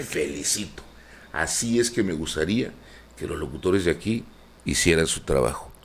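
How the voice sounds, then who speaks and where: A man's very deep, low voice with vocal fry, lively intonation, a moderate pace and long, frequent pauses. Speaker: radio and TV announcer. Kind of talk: interview answer.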